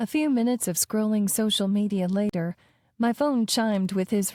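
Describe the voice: Ordinary pitch variation in plain reading aloud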